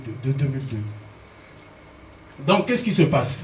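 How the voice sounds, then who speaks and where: The speaker is a man with a fairly high pitch. Audible room echo surrounds his voice. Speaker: political speaker. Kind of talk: political speech with slides. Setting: public meeting in Paris. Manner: halting, many repetitions and fillers.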